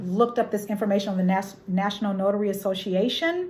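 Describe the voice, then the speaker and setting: A woman's very fast delivery with fairly even intonation. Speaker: notary and loan signing agent. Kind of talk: tutorial. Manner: halting.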